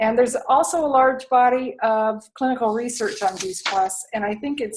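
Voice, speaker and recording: A woman with an unremarkable speaking voice, a fairly high pitch, ordinary pitch variation and a moderate pace. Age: 60s. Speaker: health and lifestyle coach. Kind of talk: sales pitch.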